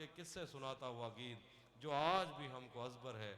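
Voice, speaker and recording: A man speaks in a bright, sharp tone. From Dera Ghazi Khan, Pakistan. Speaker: poet. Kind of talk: poetry reading.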